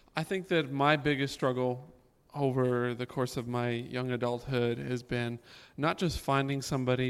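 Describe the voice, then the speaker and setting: A man with an American accent and an ordinary speaking voice, medium pitch, fairly even intonation and moderate pace. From Florida. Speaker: music and drama teacher. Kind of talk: panel discussion at church service.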